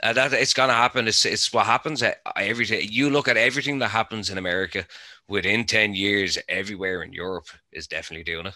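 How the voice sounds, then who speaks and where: Talking at a very fast pace, a man with a medium pitch, ordinary pitch variation and a bright, sharp tone is heard on a very clean recording with a silent background. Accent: Irish. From Ireland. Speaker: cannabis grower, podcast panelist. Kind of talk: casual chat.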